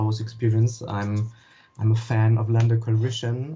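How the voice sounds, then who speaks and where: Somewhat breathy and at a medium pitch, a man speaks with monotone, flat intonation. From Germany. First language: German. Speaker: wiki moderator, gamer. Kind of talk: interview. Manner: halting.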